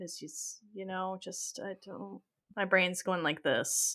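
The voice has a bright, sharp tone and moves at a fairly slow pace. The recording is very clean, with a silent background. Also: woman. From Ontario, Canada. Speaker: podcast host. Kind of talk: casual chat, game show.

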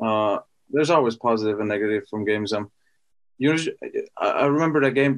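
A man with an American accent talks at a very fast pace and a medium pitch, broken by long, frequent pauses. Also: ordinary pitch variation. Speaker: NFL running back. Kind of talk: casual interview.

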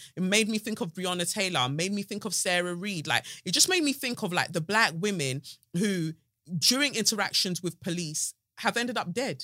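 A bright, sharp tone with lively intonation comes through in a South London accent at a fairly quick pace. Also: woman, medium pitch for a woman. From South London, England. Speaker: podcast host. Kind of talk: casual chat. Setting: studio. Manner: animated.

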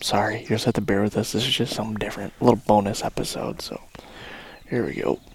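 Very fast whispering. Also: man. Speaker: turkey hunter podcast host. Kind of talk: live hunting narration. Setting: outdoors.

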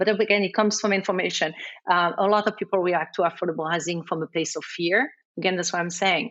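A woman talks with a strong French accent. Her pace is very fast. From France. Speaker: community development banker. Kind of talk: interview.

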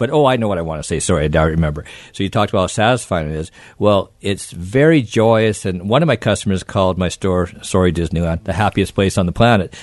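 A man's very deep, low voice at a very fast pace, with ordinary pitch variation. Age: 60s. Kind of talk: casual radio interview. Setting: studio.

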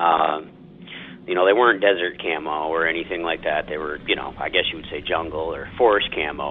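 A man's voice over noticeable background noise. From northern Maine. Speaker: caller. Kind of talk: recorded voicemail story.

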